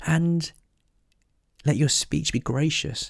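A somewhat breathy voice at a very slow pace. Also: man. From Korean heritage, raised in northern England. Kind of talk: devotional Bible teaching.

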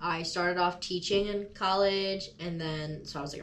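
Audible room echo surrounds a woman speaking at a fairly low pitch and a moderate pace. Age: 20s. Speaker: podcast host. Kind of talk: casual chat. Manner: animated.

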